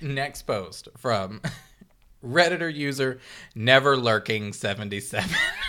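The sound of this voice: Unforced reading voice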